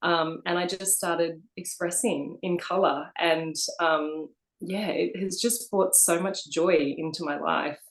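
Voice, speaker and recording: Speaking with an Australian accent, a woman talks at a fairly slow pace, her fairly low voice keeping a fairly even intonation. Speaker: co-author, abstract painter. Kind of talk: interview. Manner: hesitant, many fillers.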